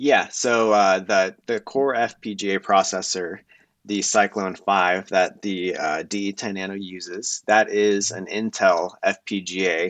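With a quiet background, a man with an unremarkable speaking voice and a fairly low pitch speaks at a fairly slow pace with fairly even intonation. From United States, moved around. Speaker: electronics vendor and engineer. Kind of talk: casual interview.

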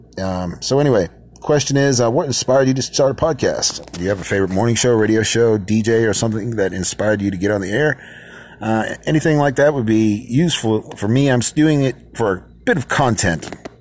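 Speaking at a fairly quick pace with an American accent, a man of medium pitch shows ordinary pitch variation amid noticeable background noise. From Lowell, Massachusetts. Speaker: listener, fellow podcaster. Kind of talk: recorded voice message. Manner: halting.

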